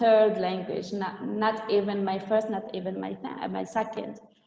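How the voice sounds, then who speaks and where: A woman in an Arabic accent at a moderate pace, her pitch fairly high, with noticeable background noise and audible room echo. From Tunisia. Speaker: trainer. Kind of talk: webinar talk. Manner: halting.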